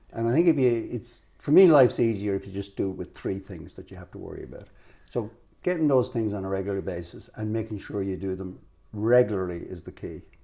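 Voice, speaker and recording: A man with an Irish accent talks at a very fast pace in a dark, mellow tone, pitched fairly low. His intonation is lively, and his loudness swings widely. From Ireland. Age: 70s. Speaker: financial adviser. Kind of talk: interview.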